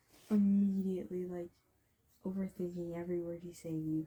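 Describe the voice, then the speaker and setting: Speaking at a moderate pace, a woman has a medium pitch and a dark, mellow tone that is somewhat breathy. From Canada. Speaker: voice actor, storyteller. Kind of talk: casual storytelling monologue. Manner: rambling, filler-heavy.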